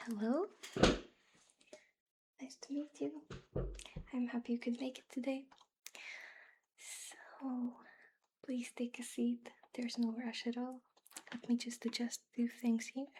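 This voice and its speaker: A soft-spoken woman talks at a high pitch in a gentle, dark, mellow tone with ordinary pitch variation. Her pace is fairly slow, with long, frequent pauses and big swings in loudness. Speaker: ASMR creator. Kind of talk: ASMR roleplay, job interviewer. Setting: close-mic studio recording. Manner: soft-spoken, gentle, reassuring.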